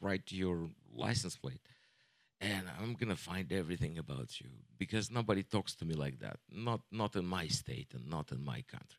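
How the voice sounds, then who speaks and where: A man talks at a moderate pace in a very deep, low voice with vocal fry and very wide pitch swings. The sound is dry and close, with no echo. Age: 40s. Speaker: comedian. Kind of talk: stand-up.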